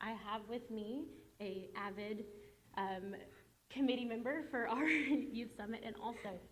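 There is audible room echo as a woman speaks in a fairly high voice. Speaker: nonprofit communications manager. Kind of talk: public presentation at board meeting. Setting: school board meeting with audience. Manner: fast.

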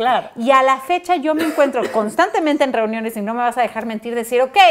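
Speaking fairly quickly, a woman uses lively intonation. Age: 30s. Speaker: talk show host. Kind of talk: casual chat. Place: home room. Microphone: lapel.

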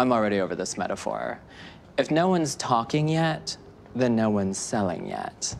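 A man's medium-pitched voice with very wide pitch swings, a moderate pace and light background noise. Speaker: actor. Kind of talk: TV crime drama scene. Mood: wry, casual, streetwise. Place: home room.

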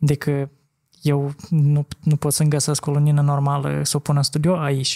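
A man's somewhat breathy, fairly high-pitched voice at a moderate pace, monotone and flat in intonation, with very even loudness over a quiet background. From Moldova. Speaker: podcast host, former photographer; podcast host. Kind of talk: casual chat. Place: studio. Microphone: studio mic.

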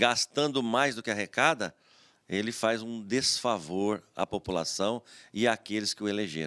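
A man at medium pitch talks fairly slowly in an ordinary speaking voice. The background is quiet. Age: 50s. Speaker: retired federal highway police officer and former city councillor; interview guest. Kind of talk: TV interview. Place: studio. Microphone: studio mic.

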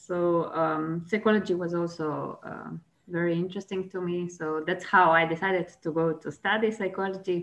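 A woman's fairly low voice with a Slovene accent, monotone and flat in intonation, at a moderate pace. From Slovenia. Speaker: chess player and psychology professor. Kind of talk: interview. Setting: video call. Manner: hesitant, many fillers.

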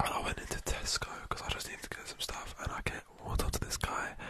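Whispering, a man rushes through his words at a very fast pace. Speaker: ASMR streamer. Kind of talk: casual talk to camera, live stream chat. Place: home room. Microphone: studio mic.

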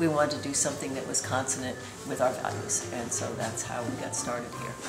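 Clear music plays in the background. A woman talks at a fairly quick pace. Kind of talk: interview answer. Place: cafe. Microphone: phone near.

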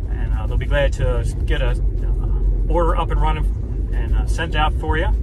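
With music in the background and a dry sound with no echo, a man speaks at a fairly slow pace. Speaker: local vlogger reviewing a restaurant. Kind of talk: casual vlog chat. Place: car. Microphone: phone near.

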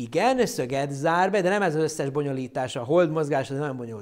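An animated male voice against a quiet background. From Hungarian community abroad. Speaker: astronomer presenting an astronomy show; presenter. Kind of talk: popular science lecture with live Q&A. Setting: online live stream. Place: studio. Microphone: lapel.

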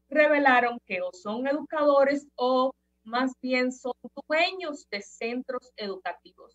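A woman's high-pitched voice at a very slow pace, with ordinary pitch variation and a quiet background. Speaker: opinion commentator. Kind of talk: commentary. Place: home room. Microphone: webcam.

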